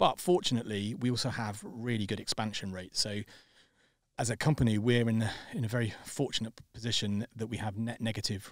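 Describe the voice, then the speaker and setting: On a very clean recording with a silent background, a man with a medium-pitched voice talks at a fairly quick pace with fairly even intonation. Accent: British. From Britain. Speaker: startup co-founder. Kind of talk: casual chat. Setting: studio. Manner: halting.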